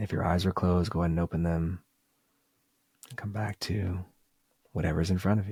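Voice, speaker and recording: A man speaks with a very deep, low pitch and a dark, mellow, somewhat breathy tone. He moves at a fairly quick pace over a very clean recording with a silent background. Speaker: meditation and business coach. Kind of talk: guided meditation.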